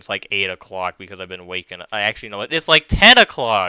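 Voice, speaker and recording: A man's bright, sharp tone comes through dry and close, with no echo. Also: very clean recording, silent background. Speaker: animator and gaming youtuber. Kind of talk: casual gameplay commentary. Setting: home computer recording. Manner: stuttering, repetitive false starts.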